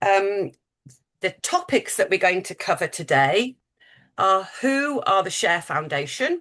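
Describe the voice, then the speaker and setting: Against a quiet background, a woman with a British accent speaks at a fairly slow pace. Her tone is bright and sharp, with very wide pitch swings. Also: medium pitch for a woman. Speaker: charity fundraising manager. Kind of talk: webinar presentation. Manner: hesitant, many fillers.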